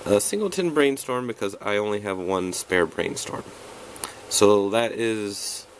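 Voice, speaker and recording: Noticeable background noise surrounds this man's voice. He speaks fairly slowly at a fairly low pitch. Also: ordinary pitch variation. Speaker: card game deck reviewer. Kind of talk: tutorial. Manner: casual, rambling. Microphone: poor recording setup.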